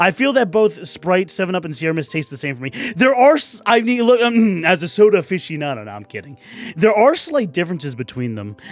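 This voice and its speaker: Over music in the background, a man rushes along at a very fast pace in a high pitch, with very wide pitch swings and big swings in loudness. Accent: American. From New York City. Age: 30s. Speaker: YouTuber. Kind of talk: casual commentary. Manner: halting.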